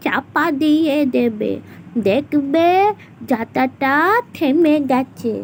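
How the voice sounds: In a cartoonish character voice, a woman speaks at a high pitch against clear background noise.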